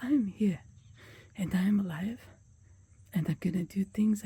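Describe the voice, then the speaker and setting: Speaking at a fairly quick pace, a woman has a dark, mellow, somewhat breathy voice of medium pitch with fairly even intonation. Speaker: vlogger. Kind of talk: casual vlog talk. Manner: halting.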